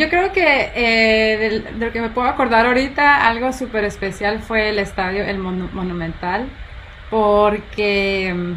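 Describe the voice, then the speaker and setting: A woman talks at a very slow pace and a fairly high pitch. Noticeable background noise and audible room echo come through. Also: ordinary pitch variation. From Guatemala. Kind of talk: interview.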